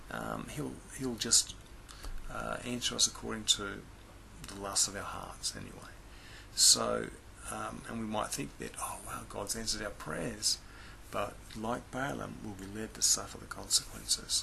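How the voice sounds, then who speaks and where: A man speaks quietly at a fairly slow pace, with long, frequent pauses. His loudness swings widely. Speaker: Bible teacher. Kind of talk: Bible lesson talk. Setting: indoors, others asleep next door. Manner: speaking very quietly; halting, many fillers.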